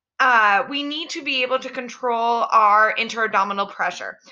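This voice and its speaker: The woman's voice is raised and projected. It has a bright, sharp tone. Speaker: pre and postnatal fitness coach. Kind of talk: educational podcast monologue.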